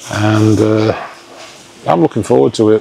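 There is noticeable background noise behind the speech. A man talks at a moderate pace. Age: 50s. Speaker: vlogger. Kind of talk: casual vlog chat. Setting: outdoors. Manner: animated.

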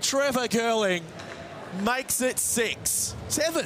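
A man talks at a slow pace. Clear crowd noise and clear background noise fill the background.

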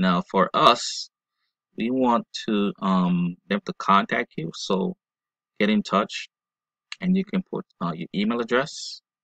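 A man at a medium pitch swings his voice very widely, his tone bright and sharp and the sound dry and close with no echo. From Jamaica. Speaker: online marketing tutorial maker. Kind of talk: screencast tutorial. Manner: hesitant, many fillers.

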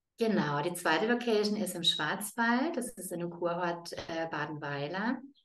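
Fairly slow speech with audible room echo. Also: woman, lively intonation. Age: 40s. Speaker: yoga teacher. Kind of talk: interview. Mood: warm, smiling. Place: home room. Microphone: video call.

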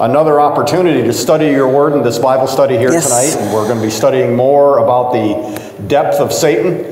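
Audible room echo and noticeable background noise surround a man speaking at a fairly quick pace with ordinary pitch variation. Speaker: pastor. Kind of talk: prayer and church announcements. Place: church. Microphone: lapel.

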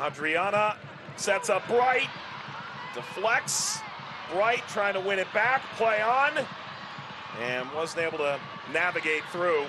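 Amid noticeable background noise, a man with a high pitch raises and projects his voice, speaking very slowly with long, frequent pauses and very wide pitch swings. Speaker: play-by-play commentator. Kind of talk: sports commentary, crisp play-by-play calls with stats and trivia. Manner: brisk, clipped play-by-play narration; dry, wry humor.

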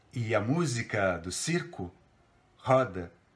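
At a very slow pace, a man speaks in a theatrical tone, somewhat breathy, with ordinary pitch variation. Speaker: theatre professor reading a poem. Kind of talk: poetry reading aloud, a literary text delivered with dramatic interpretation. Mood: expressive, theatrical recitation. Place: home room. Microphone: phone near.

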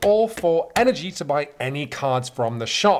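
A man with an English accent speaks with very wide pitch swings. Light background noise can be heard. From England. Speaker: board game reviewer. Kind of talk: casual explanatory presentation; tutorial. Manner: hesitant with fillers. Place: home room.

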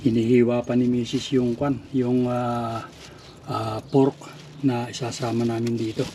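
Noticeable background noise runs under this recording. A man talks with monotone, flat intonation. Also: medium pitch for a man, fairly slow pace. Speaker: vlogger. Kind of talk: casual cooking vlog. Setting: outdoors, backyard. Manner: halting, many fillers.

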